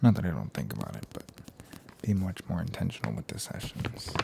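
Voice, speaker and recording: Soft-spoken and relaxed in tone, the speaker goes at a moderate pace over noticeable background noise. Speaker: ASMR creator. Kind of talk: ASMR trigger assortment, casual talk to camera. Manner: soft-spoken, relaxed.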